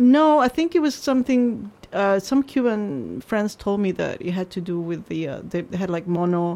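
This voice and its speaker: Her tone is dark and mellow, and this woman's intonation is lively. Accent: Spanish. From Peru. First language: Spanish. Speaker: journalist. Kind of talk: casual interview. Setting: studio.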